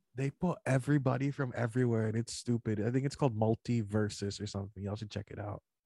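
A man's somewhat breathy voice at medium pitch, dark and mellow in tone, playful, with fairly even intonation, a very fast pace and hardly any pauses, in a dry, close sound with no echo. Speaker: podcast co-host. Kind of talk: casual chat. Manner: playful, joking.

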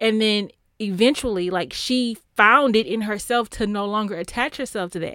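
A woman speaks in a plain, everyday voice with an American accent, pitched fairly high. The recording is very clean, with a silent background. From Texas. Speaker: podcaster. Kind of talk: casual chat.

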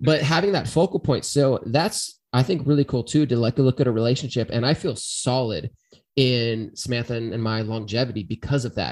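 A man talks at a moderate pace in an unremarkable speaking voice of medium pitch. His pitch varies in an ordinary way over a quiet background. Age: 30s. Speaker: podcast host. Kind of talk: casual chat.

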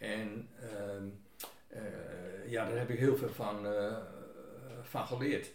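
A man is speaking. Both room echo and background noise are noticeable. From Groningen, Netherlands. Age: 60s. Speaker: retired nurse. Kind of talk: casual chat. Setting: at home. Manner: halting.

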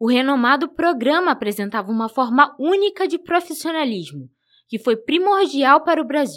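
Over a silent background in a very clean recording, a woman speaks at a moderate pace. Her voice is high, with lively intonation. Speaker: student radio reporter. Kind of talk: scripted narration.

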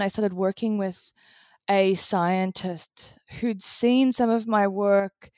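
Speaking at a fairly slow pace with an Australian accent, the voice comes through a very clean recording with a silent background and a dry, close sound with no echo. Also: woman. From Australia, Brisbane. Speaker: designer and author. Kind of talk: interview conversation. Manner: halting, many fillers.

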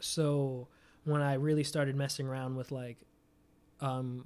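A man with an American accent uses an ordinary speaking voice at a fairly high pitch. His intonation is fairly even, his pace moderate, and the recording very clean with a silent background. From New York City, Staten Island. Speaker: music producer and beatmaker. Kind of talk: casual interview chat.

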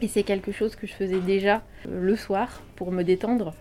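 Noticeable background noise sits behind a woman's medium-pitched voice. She talks at a fairly slow pace with fairly even intonation. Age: 30s. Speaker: former journalist retraining as baker. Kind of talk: interview testimony.

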